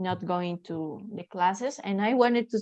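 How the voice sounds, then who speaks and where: A woman speaks at a medium pitch with a Spanish accent. Her pitch rises and falls in an ordinary way. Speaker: language student. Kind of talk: casual chat. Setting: video call. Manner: halting.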